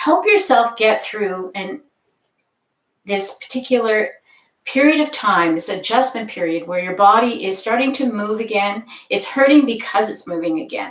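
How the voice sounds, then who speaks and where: A woman talks at a moderate pace in a plain, everyday voice. Her intonation is lively. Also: fairly high pitch for a woman. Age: 60s. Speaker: yoga instructor. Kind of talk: live-streamed yoga class talk. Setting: live stream on camera. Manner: casual, conversational.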